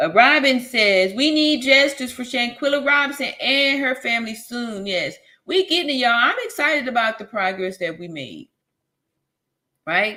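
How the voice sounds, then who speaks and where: A woman speaks with a high pitch and a bright, sharp tone. Her pace is moderate, with big swings in loudness. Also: lively intonation. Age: 50s. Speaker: livestream host, nurse channel. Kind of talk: live stream chat reading comments. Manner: casual, animated.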